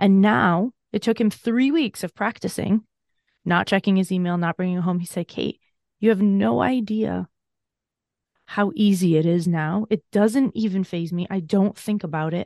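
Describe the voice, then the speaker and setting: A woman's plain, everyday voice at a medium pitch, dry and close with no echo, over a quiet background. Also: ordinary pitch variation, moderate pace. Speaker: burnout coach and author. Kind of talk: interview conversation.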